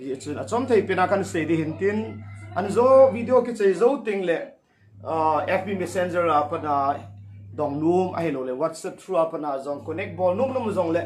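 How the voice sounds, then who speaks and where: A man with a Northeast Indian accent speaks at a moderate pace in a high pitch with very wide pitch swings. Music plays in the background, and room echo is audible. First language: Thadou-Kuki. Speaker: pastor. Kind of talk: sermon. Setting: livestream. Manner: halting.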